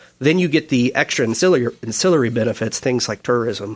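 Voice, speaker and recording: A man talks at a fairly quick pace in an ordinary speaking voice. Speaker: economic consultant.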